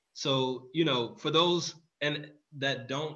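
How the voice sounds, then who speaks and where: In an American accent, the voice has a bright, sharp tone and ordinary pitch variation, with audible room echo around it. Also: man. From Texas, Houston. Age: 30s. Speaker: nonprofit executive director, military veteran. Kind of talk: interview.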